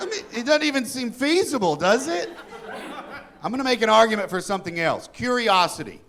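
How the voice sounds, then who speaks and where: Extremely high in pitch, a man talks at a fairly quick pace with very wide pitch swings. Noticeable background noise and audible room echo fill the recording. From Kentucky. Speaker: stand-up comedian. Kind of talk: stand-up. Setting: stage with audience.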